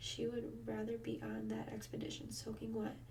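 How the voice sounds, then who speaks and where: Soft-spoken delivery moves along at a moderate pace. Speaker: ASMR creator. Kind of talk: reading aloud from a novel.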